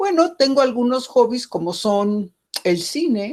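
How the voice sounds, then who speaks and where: Very wide pitch swings from a woman speaking fairly slowly. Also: very clean recording, silent background. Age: 70s. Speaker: geographer, professor. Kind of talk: interview.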